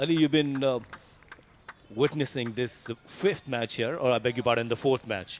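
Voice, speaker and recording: With ordinary pitch variation, the talking holds a moderate pace against noticeable background noise. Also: man, medium pitch for a man. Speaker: cricket commentator. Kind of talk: live commentary. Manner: halting.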